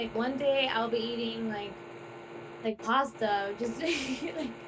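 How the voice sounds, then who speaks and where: With an American accent, a woman speaks at a high pitch and fairly even intonation, with audible room echo and noticeable background noise. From Cuban American, Miami. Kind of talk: casual chat.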